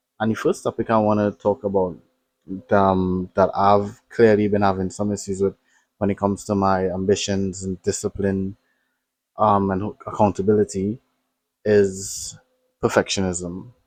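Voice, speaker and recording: A man talks at a moderate pace in a fairly low pitch, his intonation monotone and flat. The sound is dry and close with no echo, broken by long, frequent pauses. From Trinidad and Tobago. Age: 20s. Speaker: vlogger. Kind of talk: casual vlog monologue. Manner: hesitant, many fillers.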